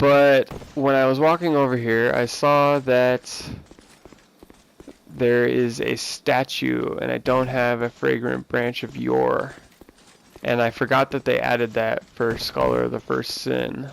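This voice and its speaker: The pace is fairly slow. Noticeable background noise runs underneath. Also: man. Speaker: gamer. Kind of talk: let's play commentary. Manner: monotone; casual.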